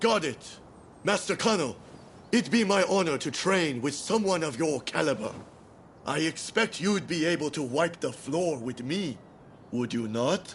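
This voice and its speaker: A man puts on a character voice, fairly high in pitch, with lively intonation. He speaks at a moderate pace against clear background noise. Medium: video game. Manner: brash, competitive.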